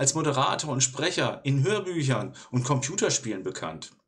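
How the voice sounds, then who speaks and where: Somewhat breathy, a man talks at a fairly slow pace with lively intonation. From southern Germany, Allgäu. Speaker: YouTuber and interviewer. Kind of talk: interview.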